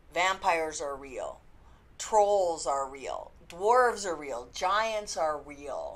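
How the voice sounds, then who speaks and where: Over audible room echo, a woman speaks at a very slow pace with a medium pitch, very wide pitch swings, and big swings in loudness. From Canada. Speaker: book reviewer. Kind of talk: casual review vlog. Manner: chatty, informal.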